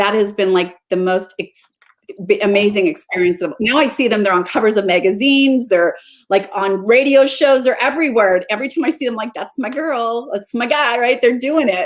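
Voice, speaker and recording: With a plain, everyday voice, a woman speaks at a fairly quick pace and fairly high pitch with lively intonation. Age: 60s. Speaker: mindset coach. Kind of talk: interview. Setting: live stream.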